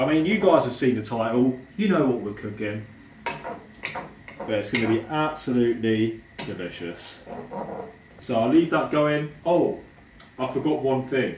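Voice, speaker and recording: Someone talks at a fairly slow pace against noticeable background noise. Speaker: fitness vlogger cooking. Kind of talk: cooking tutorial. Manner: casual, chatty.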